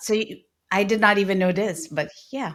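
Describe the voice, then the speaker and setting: A woman with a medium pitch speaks at a moderate pace. She has a slight non-native accent. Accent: near-native English. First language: not English (multilingual). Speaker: podcast host. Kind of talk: podcast interview.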